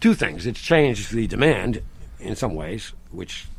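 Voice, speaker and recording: A man's voice carries an audible room echo. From Rhode Island. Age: 60s. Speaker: farmer. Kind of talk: casual chat. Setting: outdoors. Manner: animated.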